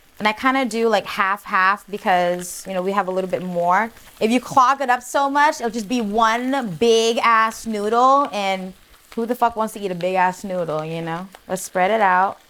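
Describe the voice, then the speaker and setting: A woman's animated voice at a moderate pace, with noticeable background noise. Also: medium pitch for a woman, ordinary pitch variation. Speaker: cooking show host. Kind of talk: cooking tutorial. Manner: loud; animated, sassy.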